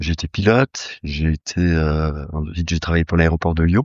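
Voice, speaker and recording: A man's voice, very deep and low, moves at a moderate tempo. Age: 60s. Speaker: horse breeder. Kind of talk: interview. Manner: hesitant, many fillers.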